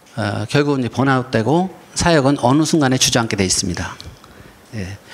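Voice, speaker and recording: Noticeable background noise sits under the recording. A man speaks with very wide pitch swings. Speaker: pastor and lecturer. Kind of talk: lecture. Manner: slow; halting.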